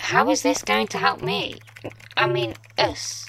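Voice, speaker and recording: The voice is low in pitch and moves at a fairly slow pace. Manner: anxious, questioning.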